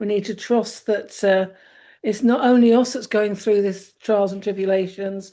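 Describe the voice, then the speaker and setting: Her medium-pitched voice flat and monotone, a woman speaks at a moderate pace. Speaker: tarot card reader. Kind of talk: casual chat. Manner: halting.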